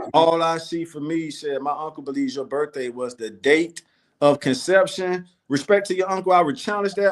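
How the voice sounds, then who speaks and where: Speaking in a New Orleans accent, a man talks at a moderate pace with a fairly high pitch and ordinary pitch variation. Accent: New Orleans accent picked up. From Florida. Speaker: talk show co-host. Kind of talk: casual chat.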